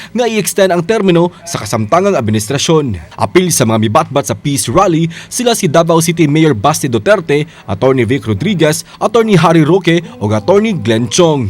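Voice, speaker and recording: Against noticeable background noise, a man speaks at a fairly quick pace and fairly high pitch, with very wide pitch swings. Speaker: news reporter. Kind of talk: scripted TV news report narration in Cebuano, read in a steady voice-over. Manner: formal, even-paced, measured newsreader delivery.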